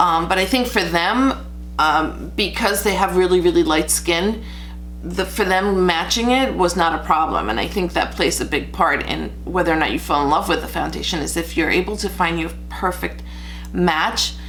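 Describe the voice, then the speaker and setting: With audible room echo around her, a woman talks at a moderate pace. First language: Spanish. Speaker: beauty vlogger. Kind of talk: makeup tutorial review. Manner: casual, chatty with fillers.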